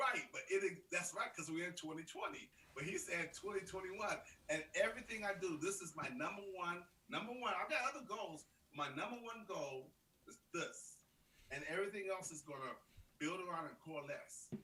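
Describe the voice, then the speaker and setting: A man's high-pitched, raised and projected voice. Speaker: live stream co-host, coach. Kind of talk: casual chat. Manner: animated; fast.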